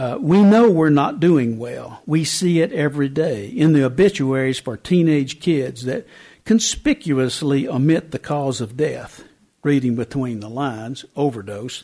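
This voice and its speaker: A man with an East Tennessee accent, a dark, mellow tone, lively intonation and a fairly slow pace. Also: fairly high pitch for a man. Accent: East Tennessee Southern. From East Tennessee, rural South Knox County. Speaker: newspaper columnist and author. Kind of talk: book talk to a lunchtime audience. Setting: library talk with live audience.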